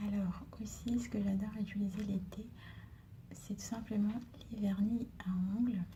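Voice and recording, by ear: A woman with a medium pitch speaks at a fairly slow pace, leaving long, frequent pauses. Her intonation is monotone and flat, with noticeable background noise.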